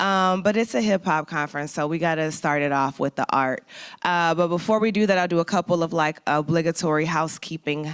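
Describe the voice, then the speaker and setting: A woman speaks with an American accent in a plain, everyday voice. Her pitch variation is ordinary. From St. Louis, US Midwest. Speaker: conference host. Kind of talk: event emcee address. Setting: conference hall with live and online audience.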